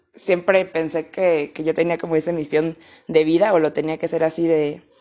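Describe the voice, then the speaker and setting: A woman's fairly low, dark and mellow voice in a monotone, flat intonation. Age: 20s. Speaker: pole dance instructor. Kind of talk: interview.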